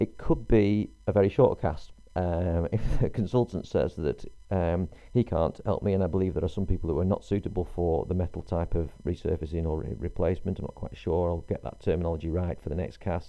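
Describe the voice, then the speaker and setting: A man talks at a fairly quick pace, with hardly any pauses. His very deep, low voice shows ordinary pitch variation. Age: 40s. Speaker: podcaster documenting his hip surgery. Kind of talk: solo personal monologue. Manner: halting, many fillers.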